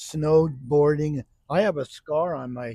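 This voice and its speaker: The sound is dry and close, with no echo. The voice is somewhat breathy, with ordinary pitch variation. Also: man, very clean recording, silent background. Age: 80s+. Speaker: ex-priest. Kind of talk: casual chat. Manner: halting.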